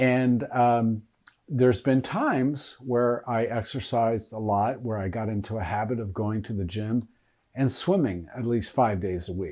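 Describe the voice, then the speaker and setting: Against a quiet background, a man speaks at a medium pitch and a fairly slow pace. His tone is dark and mellow, with ordinary pitch variation. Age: 60s. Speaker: health coach. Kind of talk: casual talk to camera. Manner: hesitant, with fillers.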